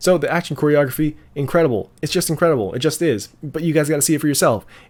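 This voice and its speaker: This man has a fairly high pitch and vocal fry. He talks at a very fast pace. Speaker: movie reviewer youtuber. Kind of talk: casual vlog review. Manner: animated; halting.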